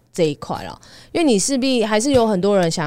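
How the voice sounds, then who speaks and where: A woman speaks with a Taiwanese accent. Her pitch swings very widely. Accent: Taiwanese Mandarin. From Taiwan, Taipei. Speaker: dietitian. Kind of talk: casual chat.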